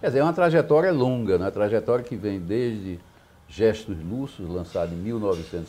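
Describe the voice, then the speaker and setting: Speaking at a fairly quick pace, a man uses lively intonation in a dark, mellow tone. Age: 70s. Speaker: poet. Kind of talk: interview.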